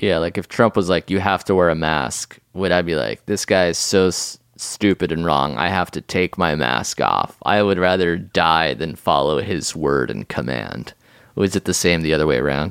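A man's very deep, low voice with vocal fry, ordinary pitch variation and a moderate pace, dry and close with no echo, on a very clean recording with a silent background. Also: hardly any pauses. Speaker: podcast host. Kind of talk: casual comedic chat.

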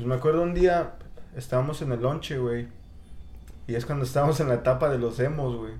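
A man speaks at a fairly quick pace in a somewhat breathy voice. Audible room echo surrounds him. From Mexico City area. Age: 30s. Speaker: guest. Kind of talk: casual chat.

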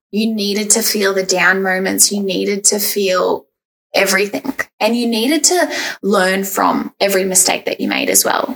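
Her pitch is medium with ordinary variation as a woman with an unremarkable speaking voice keeps a moderate pace. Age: 20s. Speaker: podcast host. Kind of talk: casual interview chat.

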